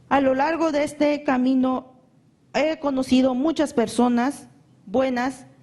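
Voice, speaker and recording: In a high voice with flat, monotone intonation, a woman speaks at a fairly slow pace. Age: 20s. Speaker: human rights victim. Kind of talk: testimony. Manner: halting.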